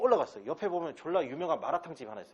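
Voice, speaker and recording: A man is speaking. His pitch sits high. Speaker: English instructor. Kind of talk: lecture. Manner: animated.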